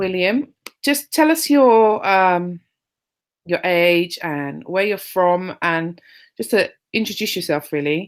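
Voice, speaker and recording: A woman with a London accent at a very slow pace, in a very clean recording with a silent background. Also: medium pitch for a woman, lively intonation. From London, England. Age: 30s. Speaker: interviewer, online group admin. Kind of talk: interview.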